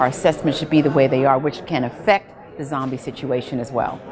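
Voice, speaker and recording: Noticeable noise fills the background. Over it, a woman talks very fast. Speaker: public speaker. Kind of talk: public comment at council meeting.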